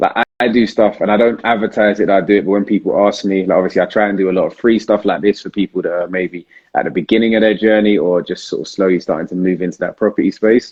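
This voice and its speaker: In a London accent, a man talks at a very fast pace with hardly any pauses. His intonation stays fairly even. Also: fairly low pitch for a man. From South London. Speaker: property investor and live Q&A host. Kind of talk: live Q&A stream. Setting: Instagram live video. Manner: casual, hesitant with many fillers.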